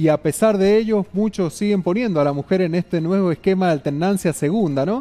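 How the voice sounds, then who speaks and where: Here a man talks at a fairly quick pace with a high pitch. His tone is dark and mellow. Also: ordinary pitch variation. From Argentina, San Juan (Rawson); Argentina. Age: 30s. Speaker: mayoral candidate; candidate. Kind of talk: interview. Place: studio. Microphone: headset.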